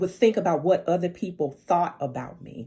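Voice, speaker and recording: A woman speaks with a Southern accent. Her voice is fairly low in pitch with a dark, mellow tone. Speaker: life coach. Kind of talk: casual livestream monologue. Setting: social media live video.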